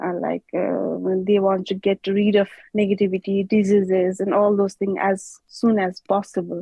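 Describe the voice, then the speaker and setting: A woman's monotone, flat intonation with hardly any pauses. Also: medium pitch for a woman, moderate pace. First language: not English. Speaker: event participant. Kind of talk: asking a question. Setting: video call. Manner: halting.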